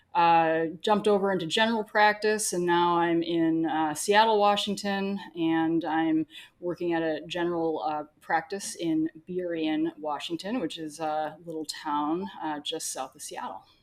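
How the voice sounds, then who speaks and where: In a Wisconsin accent, a woman speaks at a fairly low pitch with ordinary pitch variation and hardly any pauses. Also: fairly slow pace. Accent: Wisconsin twang. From US Midwest, Wisconsin. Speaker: veterinarian. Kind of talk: podcast conversation.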